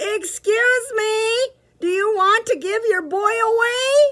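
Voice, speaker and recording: A loud, squeaky put-on character voice shouts at an extremely high pitch. The pace is very slow. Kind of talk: storybook read-aloud. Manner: polite but shouted loudly.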